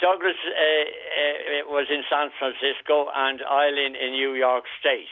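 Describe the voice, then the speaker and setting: This man speaks in a Dublin accent at a very slow pace. His pitch is fairly high, and his intonation is monotone and flat. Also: hardly any pauses. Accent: Irish (Dublin). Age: 80s+. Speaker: caller. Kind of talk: phone-in radio interview. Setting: phone call. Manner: halting.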